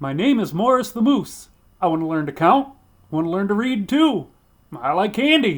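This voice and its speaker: Putting on a character voice, a man talks at a moderate pace in a high pitch that swings very widely. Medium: read story. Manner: eager, guileless.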